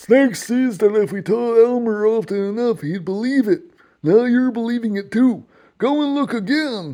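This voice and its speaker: This put-on character voice sits at a fairly high pitch and moves at a moderate pace over a quiet background. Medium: read story.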